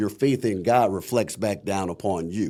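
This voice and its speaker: Dark, mellow tone from a man with an American accent, fairly slow and fairly even in intonation, on a very clean recording with a silent background. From Akron, Ohio. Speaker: voice actor, audiobook narrator. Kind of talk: interview answer.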